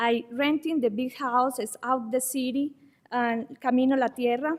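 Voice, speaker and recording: This woman has a high-pitched voice and a non-native accent. Her intonation stays monotone and flat. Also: moderate pace. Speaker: public commenter, Airbnb host. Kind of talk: public comment at county meeting. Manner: halting.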